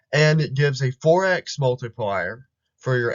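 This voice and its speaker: Somewhat breathy, a man speaks at medium pitch. His pace is fairly slow and his pitch varies ordinarily. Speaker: gaming YouTuber. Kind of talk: casual game guide talk.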